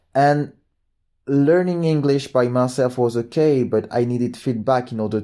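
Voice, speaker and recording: In a French accent, a man with a dark, mellow tone speaks at a fairly slow pace with ordinary pitch variation. The recording is very clean with a silent background. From France. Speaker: book and movie reviewer. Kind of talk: casual monologue review. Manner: halting, with repetitions and fillers.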